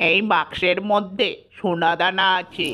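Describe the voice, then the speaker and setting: A female-sounding cartoonish character voice sits at a medium pitch. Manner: wheedling, sly.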